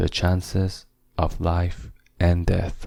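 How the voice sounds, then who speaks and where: Very deep and low, a man's soft-spoken voice has a dark, mellow, gentle tone and fairly even intonation. He speaks at a very slow pace in a very clean recording with a silent background. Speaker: narrator. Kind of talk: relaxing audiobook reading. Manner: gentle, soft-spoken.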